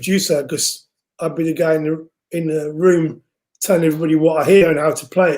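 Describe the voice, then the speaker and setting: Speaking at a fairly quick pace, a man with an English accent has a high pitch. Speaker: music producer and singer. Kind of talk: casual interview chat. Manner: loud speaking voice; animated.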